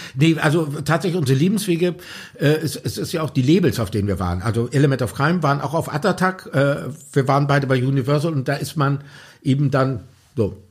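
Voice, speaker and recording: Somewhat breathy and at a very fast pace, a man talks in a fairly high pitch with lively intonation. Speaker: pop musician and author. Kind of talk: interview. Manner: halting, many fillers.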